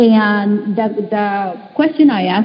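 A woman speaks while noticeable background noise carries on around her. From Mexico. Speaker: talent management consultant. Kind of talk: panel discussion.

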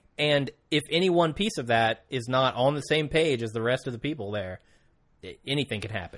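With a normal speaking voice, a man of medium pitch speaks in lively intonation. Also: fairly quick pace. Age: 20s. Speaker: podcast co-host. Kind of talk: casual chat.

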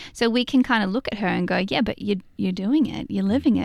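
A woman with an Australian accent talks at a fairly quick pace with vocal fry, on a very clean recording with a silent background. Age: 30s. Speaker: novelist. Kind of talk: interview. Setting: studio.

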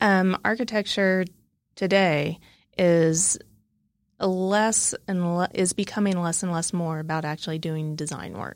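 At a fairly slow pace, a woman with a fairly low pitch speaks in a normal speaking voice with fairly even intonation, on a very clean recording with a silent background. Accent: American. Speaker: architect. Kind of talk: interview.

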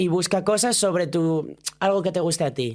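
A woman speaks at a fairly low pitch. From Asturias, Spain. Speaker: drag performer. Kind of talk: casual chat.

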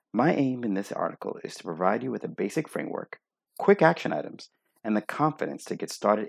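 Very fast and full of very wide pitch swings, a man's medium-pitched voice carries vocal fry in a dry, close recording with no echo. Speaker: optometrist and practice owner. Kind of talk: reading aloud.

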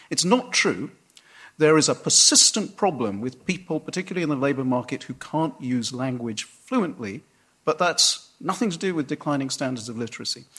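A man with a British accent speaks at a fairly quick pace, his pitch swinging very widely. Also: fairly high pitch for a man. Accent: non-rhotic British English. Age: middle-aged. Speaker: newspaper columnist. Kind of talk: public debate. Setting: stage with audience.

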